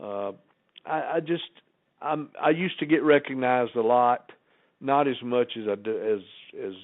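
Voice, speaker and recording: The man speaks at a fairly slow pace in a Southern US accent. His medium pitch shows ordinary variation. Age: 70s. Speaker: former wrestling personality, podcast guest. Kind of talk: casual interview chat. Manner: halting, repetitive starts.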